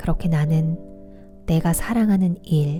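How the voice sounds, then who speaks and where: Music plays behind a woman speaking at a very slow pace. Her pitch is fairly low, and her tone is calm. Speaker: audiobook reader / book vlogger. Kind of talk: audiobook reading for relaxation and sleep. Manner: soft, calm, relaxing.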